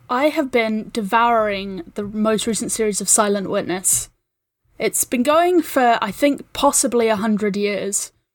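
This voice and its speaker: A woman with a New Zealand accent speaks at a fairly high pitch and a fairly slow pace, with ordinary pitch variation. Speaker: podcast producer. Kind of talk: casual chat.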